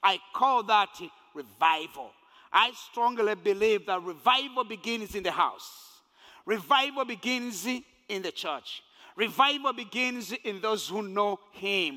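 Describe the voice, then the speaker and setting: Raising and projecting his voice, a man speaks very slowly in a high pitch with a bright, sharp tone and ordinary pitch variation. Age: 50s. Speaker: pastor. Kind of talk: sermon. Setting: church.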